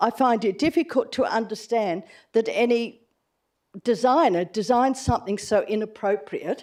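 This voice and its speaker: Using a high pitch and ordinary pitch variation, a woman with an Australian accent speaks at a fairly slow pace. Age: 80s+. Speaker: resident making a deputation. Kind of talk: public deputation at council meeting.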